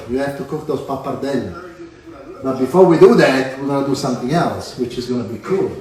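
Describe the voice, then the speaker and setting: A man talks at a fairly high pitch and a fairly quick pace, with ordinary pitch variation. There is noticeable background noise. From Sicily, Italy. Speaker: chef. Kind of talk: live cooking demonstration. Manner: instructive, upbeat.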